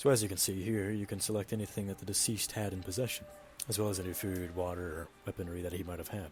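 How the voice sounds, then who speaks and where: A man with a very deep, low, somewhat breathy voice talks at a very fast pace with fairly even intonation. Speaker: game developer. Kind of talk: gameplay commentary. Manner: monotone.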